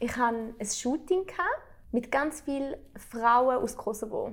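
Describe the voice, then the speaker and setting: Her voice high-pitched and animated, a woman speaks with ordinary pitch variation. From Switzerland. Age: 20s. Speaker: interviewer. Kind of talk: casual chat.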